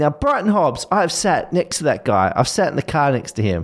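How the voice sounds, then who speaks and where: On a very clean recording with a silent background, a man's fairly high voice moves through very wide pitch swings. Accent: Australian. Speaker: podcast co-host. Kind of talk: casual chat. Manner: breathless, fast.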